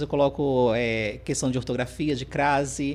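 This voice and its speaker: At a moderate pace, a man speaks with a Ceará accent. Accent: Northeastern Brazilian (Ceará). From Northeast Brazil, interior of Ceará. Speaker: teacher and speaker. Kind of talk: podcast interview.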